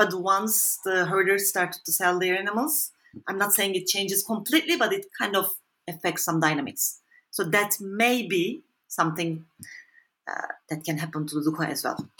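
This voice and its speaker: A Turkish accent comes through at a moderate pace with ordinary pitch variation, in a very clean recording with a silent background. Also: woman, medium pitch for a woman. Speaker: social anthropologist. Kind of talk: interview. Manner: halting.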